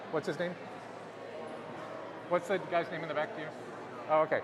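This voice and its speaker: This man speaks with a fairly high pitch. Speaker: type designer presenting at a symposium. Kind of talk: conference talk. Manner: projects loudly when he can't hear himself; halting, many restarts.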